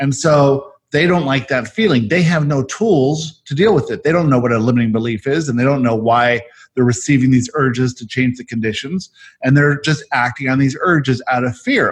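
A fairly quick man's voice, fairly high and somewhat breathy, with ordinary pitch variation. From South Africa. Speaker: podcast host and channeler. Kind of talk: casual chat. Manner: fast.

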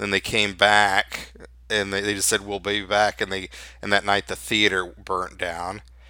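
A man with a Memphis accent, a fairly low pitch and a bright, sharp tone, on a very clean recording with a silent background. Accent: US Southern (Memphis). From Memphis, Tennessee. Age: 50s. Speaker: freelance writer and photographer. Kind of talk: interview.

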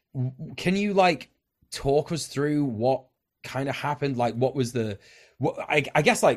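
Very clean recording of a man with a British accent at medium pitch, moderate pace and very wide pitch swings, against a silent background. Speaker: podcast host. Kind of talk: casual banter and interview.

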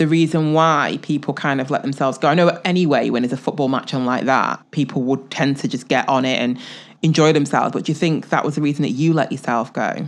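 A woman with an English accent, very deep and low, at a very fast pace with fairly even intonation. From England. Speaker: podcast co-host. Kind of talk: casual chat.

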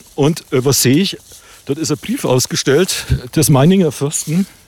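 This man's voice sits fairly high in pitch, moving at a fairly slow pace with lively intonation. Noticeable background noise runs behind him. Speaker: podcast host and playwright. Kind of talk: casual chat while hiking. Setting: outdoors on a walk.

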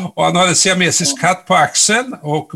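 The man's voice has a bright, sharp tone. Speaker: podcast host. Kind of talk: interview, conversational.

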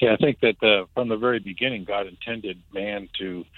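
A man with an American accent, fairly low in pitch, at a moderate pace, with a plain, everyday voice. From New Jersey. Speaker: church member. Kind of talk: interview.

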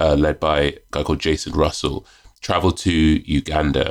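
Vocal fry runs through a man's voice as he talks at a moderate pace. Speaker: magazine editor and author. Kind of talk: casual podcast interview. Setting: video call.

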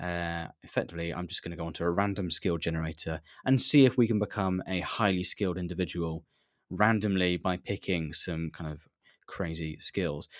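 A man in a southern English accent, with a very deep, low pitch and ordinary pitch variation, talks at a fairly quick pace on a very clean recording with a silent background. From southern England, near Reading. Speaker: podcast host. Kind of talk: solo live stream chat.

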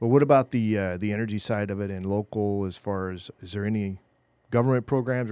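Against a quiet background, a man with a dark, mellow tone talks in a fairly low pitch with fairly even intonation. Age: 50s. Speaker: podcast host. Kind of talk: casual chat. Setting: studio.

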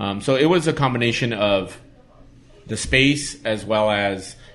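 With an American accent, a man talks at a moderate pace and a fairly low pitch. It is an unremarkable speaking voice. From East Los Angeles. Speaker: brewer. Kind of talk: casual chat.

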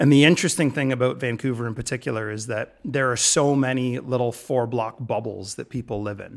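A man speaks with an ordinary speaking voice and fairly even intonation. The recording is very clean, with a silent background. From Ontario, Canada (London, Ontario). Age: 40s. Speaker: business co-founder. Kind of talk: casual interview.

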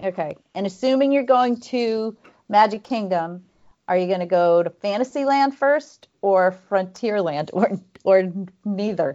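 At a fairly slow pace, a woman with an ordinary speaking voice and medium pitch talks with lively intonation. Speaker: podcast co-host, runner. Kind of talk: casual chat.

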